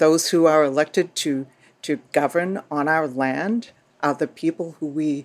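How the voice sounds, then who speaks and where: With a Boston accent, a woman speaks at a moderate pace in a very deep, low voice, recorded very cleanly against a silent background. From Boston, US Northeast. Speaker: Native organizer, nonprofit director. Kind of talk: interview, explanatory.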